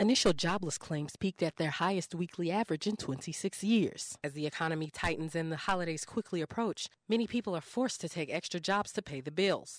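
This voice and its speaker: A woman with a plain, everyday voice talks at a fairly low pitch and a fairly quick pace, with ordinary pitch variation and hardly any pauses, in a dry, close sound with no echo and a quiet background. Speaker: radio news reporter. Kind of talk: radio news report.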